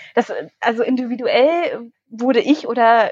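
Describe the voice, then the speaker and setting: A woman speaks at a high pitch. The sound is dry and close with no echo. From northern Germany, Schaumburger Land. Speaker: politician. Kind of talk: casual interview. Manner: hesitant, many fillers.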